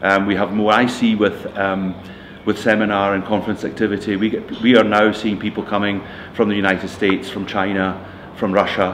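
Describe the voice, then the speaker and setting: A man in a Scottish accent speaks at a fairly quick pace with a fairly low pitch. His intonation is monotone and flat, and noticeable background noise runs underneath. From Scotland. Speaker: retiring computing staff member. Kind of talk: interview. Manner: halting, many fillers.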